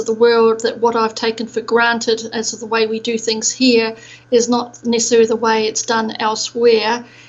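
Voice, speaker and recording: A moderate pace over noticeable background noise. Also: woman. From New Zealand. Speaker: procurement expert. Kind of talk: podcast interview. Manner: hesitant, many fillers.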